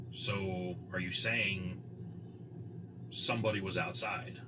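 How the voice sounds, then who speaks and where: Through loud background noise, a man puts on a character voice with a very deep, low pitch, speaking at a fairly slow pace. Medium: solo performance.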